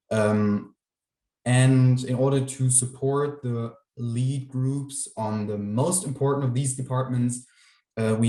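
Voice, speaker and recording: Speaking fairly slowly in a German accent, a man has a dark, mellow tone at a medium pitch with ordinary pitch variation. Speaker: youth council member. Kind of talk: presentation. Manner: halting, many fillers.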